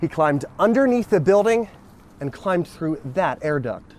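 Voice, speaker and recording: Music plays in the background as a man speaks. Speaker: TV news reporter. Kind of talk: live TV news report, on-location reporting.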